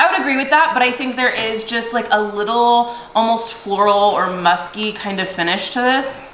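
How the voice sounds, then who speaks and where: A voice at a moderate pace with ordinary pitch variation, set against light background noise and audible room echo. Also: woman. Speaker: direct sales consultant and video host. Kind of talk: casual product review chat. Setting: home video recording with spouse. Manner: animated. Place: home room.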